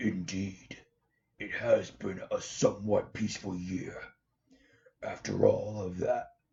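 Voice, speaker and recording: A raspy, put-on character voice talks at a fairly slow pace. Long, frequent pauses break up the speech. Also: man. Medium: read story. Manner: formal, measured.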